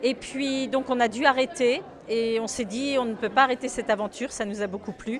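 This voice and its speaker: A high-pitched woman at a moderate pace with ordinary pitch variation, against noticeable background noise. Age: 60s. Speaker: shop founder and seamstress. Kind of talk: interview. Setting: in a shop. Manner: hesitant, many fillers.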